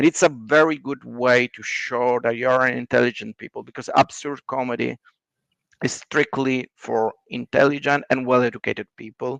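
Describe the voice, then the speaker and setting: A man with an Italian accent and a medium pitch speaks at a moderate pace with fairly even intonation and big swings in loudness, in a dry, close sound with no echo. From Italy. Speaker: writer. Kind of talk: casual chat.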